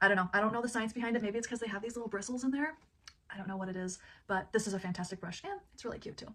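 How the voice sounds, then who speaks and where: Here a woman talks at a very fast pace in an animated tone. Her pitch is medium and varies in an ordinary way. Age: 30s. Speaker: product review vlogger. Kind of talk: product review.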